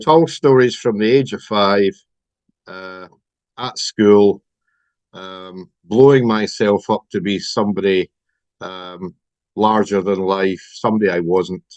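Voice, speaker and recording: In a Scottish accent, a man talks at a very slow pace in a fairly low pitch, with ordinary pitch variation, big swings in loudness, long, frequent pauses, and a dry, close sound with no echo. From Scotland. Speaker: recovering compulsive gambler. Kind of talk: personal testimony.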